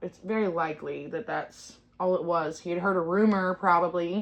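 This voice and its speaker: Her intonation fairly even, a woman talks at medium pitch. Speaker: true crime podcast host. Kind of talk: casual podcast chat. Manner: loud.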